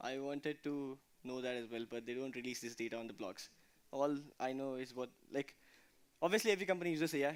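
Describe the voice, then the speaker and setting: A man talks at a very fast pace. His voice sits at a medium pitch. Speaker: conference speaker on DevOps. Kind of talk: technical talk with Q&A.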